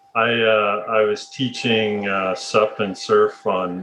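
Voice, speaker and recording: A voice with a Canadian accent over noticeable background noise. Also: man. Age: 30s. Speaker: podcast host. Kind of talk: casual chat.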